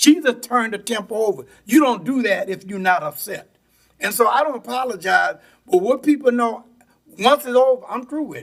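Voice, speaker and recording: A man's extremely high voice with lively intonation, a fairly quick pace and big swings in loudness. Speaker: parish council member. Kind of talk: council meeting speech. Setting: council chamber. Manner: animated.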